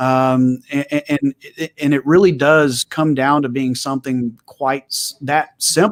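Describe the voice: In a West Texas accent, a man speaks at a fairly slow pace with a medium pitch.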